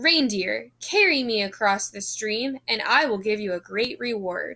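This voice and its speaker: A woman's put-on character voice at a fairly high pitch. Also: moderate pace. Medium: read story.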